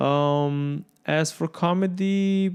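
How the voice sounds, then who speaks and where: A man speaks in a Romanian accent. The background is quiet. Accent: foreign accent, Romanian. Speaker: entrepreneur and comedian. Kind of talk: casual chat. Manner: halting, many fillers.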